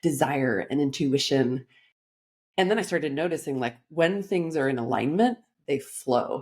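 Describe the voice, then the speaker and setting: With a Californian accent, a woman talks in an animated tone at a moderate pace, her very deep, low pitch carrying lively intonation. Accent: Californian American. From Los Angeles, US. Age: 40s. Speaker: life coach. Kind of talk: podcast interview.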